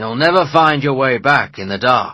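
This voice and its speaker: On a very clean recording with a silent background, a man does a raspy put-on character voice at a medium pitch and moderate pace. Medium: read story. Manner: curt, harsh.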